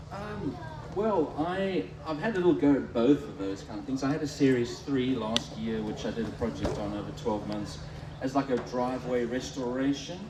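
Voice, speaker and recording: Over noticeable background noise and audible room echo, a man of medium pitch talks at a moderate pace with lively intonation. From South Africa. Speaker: Land Rover enthusiast. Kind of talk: live podcast interview. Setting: beer tent at a show with live audience. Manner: halting.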